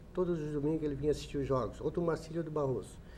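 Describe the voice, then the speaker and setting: Fairly even intonation in a man's voice pitched fairly high. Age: 60s. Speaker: football club president. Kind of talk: radio sports interview.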